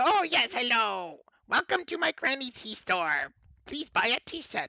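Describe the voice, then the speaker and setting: A put-on, gruff character voice, fairly high in pitch, moves at a moderate pace with very wide pitch swings. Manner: sweetly polite yet gruff.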